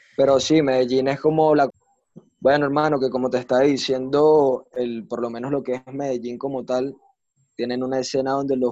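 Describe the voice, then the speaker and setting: Speaking at a fairly quick pace with a Venezuelan accent, the voice has a dark, mellow tone and monotone, flat intonation. The sound is dry and close, with no echo. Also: man. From Venezuela, Maracay. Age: 20s. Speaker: freestyle rapper. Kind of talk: casual interview.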